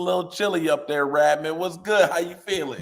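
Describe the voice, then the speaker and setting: A man with a Louisiana accent speaks at a fairly quick pace in an animated tone, his fairly high pitch showing ordinary variation. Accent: Louisiana twang. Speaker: sports radio host. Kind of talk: casual chat.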